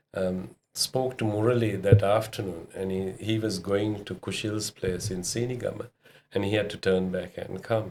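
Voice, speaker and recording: A man speaks in a flat monotone with a fairly low pitch. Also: moderate pace. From Sri Lanka. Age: 60s. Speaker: restaurant owner. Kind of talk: casual interview.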